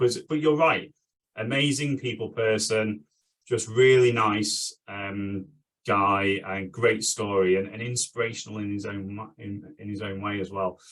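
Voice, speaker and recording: A man with a plain, everyday voice speaks at a fairly slow pace and a fairly low pitch. His intonation stays fairly even while his loudness swings a lot. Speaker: podcast host. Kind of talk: podcast interview host talk.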